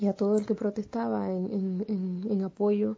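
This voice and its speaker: This is a woman's voice. There is a somewhat breathy quality to it. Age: 20s. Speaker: radio commentator and activist. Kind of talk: casual direct address; opinion commentary.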